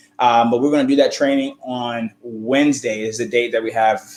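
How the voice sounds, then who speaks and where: A man speaks at medium pitch with fairly even intonation. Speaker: college funding advisor. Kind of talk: live stream talk. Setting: live video stream. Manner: fast; halting, many fillers.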